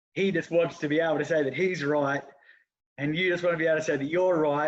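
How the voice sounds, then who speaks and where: A man with an Australian accent, talking at a very fast pace. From Australia (Geelong). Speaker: football club president and coach. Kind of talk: casual interview.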